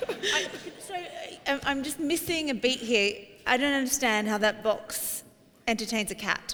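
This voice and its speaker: In an Australian accent, a woman with a high pitch speaks with lively intonation at a moderate pace, with long, frequent pauses. Noticeable background noise is present. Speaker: startup competition judge. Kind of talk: panel questioning of a pitch. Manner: halting, repeats words.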